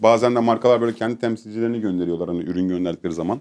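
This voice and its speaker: Fairly even intonation marks speech delivered at a very fast pace. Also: man. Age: young. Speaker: streamer. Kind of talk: casual chat. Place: studio.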